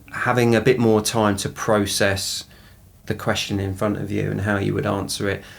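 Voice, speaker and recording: A man with an Essex accent, fairly low in pitch, at a fairly slow pace with fairly even intonation. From southeast England, Essex. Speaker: equality, diversity and inclusion professional. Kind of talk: podcast interview. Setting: studio. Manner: halting, many fillers and repetitions.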